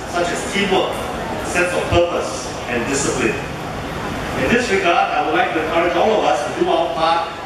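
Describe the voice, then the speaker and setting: A man at a moderate pace, with strong room echo and noticeable background noise. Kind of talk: formal prepared speech. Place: hall.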